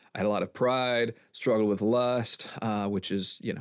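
Speaking at a fairly quick pace in a normal speaking voice, a man with medium pitch is heard on a very clean recording with a silent background. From Milwaukee, Wisconsin, US. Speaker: pastor. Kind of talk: casual chat.

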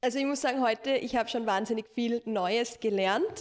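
A woman's high pitch with ordinary variation. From half Italian. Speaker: podcast host. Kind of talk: casual chat.

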